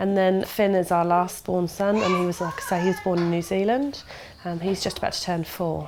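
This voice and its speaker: A woman with a southern English accent speaks at a moderate pace and medium pitch, her intonation fairly even over noticeable background noise. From southern England, Dorset. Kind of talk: interview.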